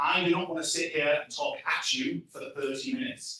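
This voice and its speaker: Speaking with an English accent, a man uses an animated tone, a high pitch and very wide pitch swings. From England. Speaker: tech leadership coach. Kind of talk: conference talk. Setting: stage with audience.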